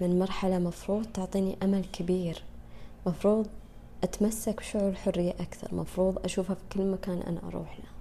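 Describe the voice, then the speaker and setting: Monotone, flat intonation from a woman at medium pitch, moderate in pace. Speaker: podcast host. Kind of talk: personal monologue. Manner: casual, Arabic-English code-switching.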